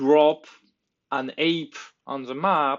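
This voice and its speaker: The man speaks with fairly high pitch. Its variation is ordinary. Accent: French. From France. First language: French. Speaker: tabletop game tool developer. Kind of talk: tutorial. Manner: halting.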